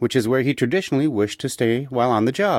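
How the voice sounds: A natural reading voice, its pitch rising and falling by an ordinary amount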